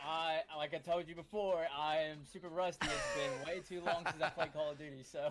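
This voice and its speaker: With an American accent, a man speaks at a high pitch and a fairly quick pace. His intonation stays fairly even over noticeable background noise. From western Kentucky, US. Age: 20s. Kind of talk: casual chat. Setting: live stream.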